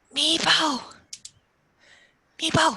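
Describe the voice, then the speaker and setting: Someone whispers in a raspy, put-on character voice. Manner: shout-whispering.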